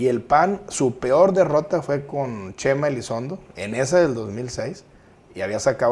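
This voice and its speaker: Vocal fry marks a man's voice as it swings very widely in pitch at a fairly slow pace. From Guadalupe, Nuevo León, Mexico. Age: 40s. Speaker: mayoral candidate. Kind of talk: interview.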